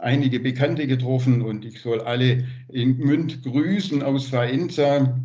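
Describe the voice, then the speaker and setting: Somewhat breathy, a man's voice moves at a fairly slow pace with fairly even intonation. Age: 60s. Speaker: liaison for Italian twin town; guest. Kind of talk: casual report. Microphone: video call.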